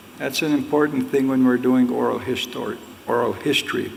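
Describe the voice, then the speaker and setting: A man talks at a moderate pace while noticeable noise fills the background. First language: Ojibwe. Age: 60s. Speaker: Ojibwe elder and storyteller, book author. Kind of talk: public talk at a book launch.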